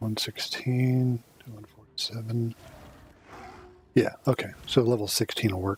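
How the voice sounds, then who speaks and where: This man talks at a fairly slow pace with long, frequent pauses. His medium-pitched voice stays monotone and flat. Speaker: video game streamer. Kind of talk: gameplay commentary. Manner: casual, with fillers.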